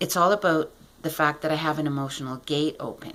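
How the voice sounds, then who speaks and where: A woman with a very deep, low pitch. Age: 60s. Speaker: client giving a testimonial. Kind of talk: testimony.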